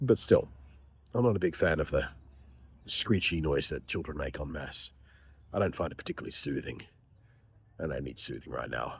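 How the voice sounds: A man's raspy, put-on character voice, very deep and low, at a fairly quick pace.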